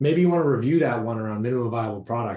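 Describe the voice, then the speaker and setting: In a dark, mellow tone, a man speaks. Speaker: program director at a startup accelerator. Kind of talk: online meeting presentation. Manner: fast.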